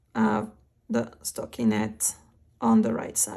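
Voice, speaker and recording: A woman's very slow speech on a very clean recording with a silent background. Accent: French. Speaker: knitting instructor. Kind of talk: knitting tutorial narration.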